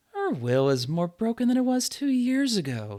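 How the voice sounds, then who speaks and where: The man's pitch is high in a put-on character voice. His delivery keeps a moderate pace. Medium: read story. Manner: sultry, mocking.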